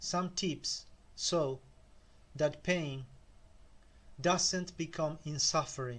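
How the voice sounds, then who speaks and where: In a Spanish accent, a man with a fairly high pitch speaks at a very slow pace with ordinary pitch variation and long, frequent pauses. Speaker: self-help video creator. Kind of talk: motivational talk.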